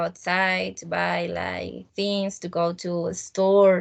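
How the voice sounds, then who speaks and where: A woman speaks with a Spanish accent. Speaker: student teacher. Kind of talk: casual chat. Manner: halting.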